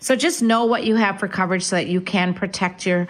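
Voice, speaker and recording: Noticeable background noise runs under a woman speaking with an American accent and ordinary pitch variation. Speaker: real estate agent. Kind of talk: radio talk show.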